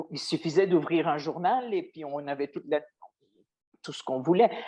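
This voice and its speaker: Over a quiet background, a woman speaks at a fairly slow pace in a dark, mellow tone. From Belgium. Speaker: former radio journalist, interviewee. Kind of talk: interview. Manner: hesitant, with repetitions.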